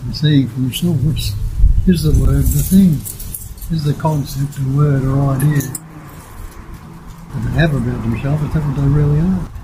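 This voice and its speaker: Noticeable background noise sits behind a man talking at a moderate pace with fairly even intonation. He leaves long, frequent pauses. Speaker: non-duality teacher. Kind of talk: interview answer.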